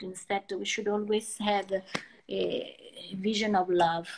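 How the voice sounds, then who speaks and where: Speaking fairly slowly, a woman has an Italian accent. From Italy. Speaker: artist. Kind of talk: interview. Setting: Instagram live video call. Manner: halting.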